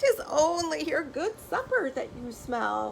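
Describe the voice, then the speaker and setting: A squeaky, shaky put-on character voice speaks at a fairly slow pace in an anxious tone. Clear background noise sits behind it. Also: woman. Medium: read story. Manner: anxious, quavering.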